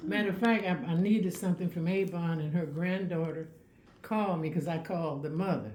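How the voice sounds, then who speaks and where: Talking at a very fast pace, a woman with an American accent uses a fairly low pitch and ordinary pitch variation. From West Oakland, California. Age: 80s+. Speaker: local historian. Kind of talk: interview answer. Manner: lively, outspoken.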